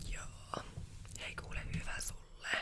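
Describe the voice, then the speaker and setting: Whispered words from a woman, very slow, over noticeable background noise. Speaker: ASMR roleplay creator. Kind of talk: ASMR roleplay, casual chatty hairdresser talk. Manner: chatty, gossipy, casual.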